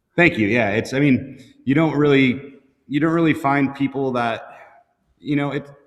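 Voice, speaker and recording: Here is a man with a plain, everyday voice and an American accent. His pitch is fairly high, his intonation fairly even, and his pace moderate. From North Dakota, US Midwest. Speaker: motorcycle builder and shop owner. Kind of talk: casual chat. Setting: live podcast with several hosts.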